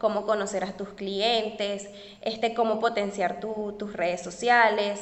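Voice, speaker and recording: Audible room echo around a woman's fairly high voice. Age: 20s. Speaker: tutoring entrepreneur. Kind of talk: interview.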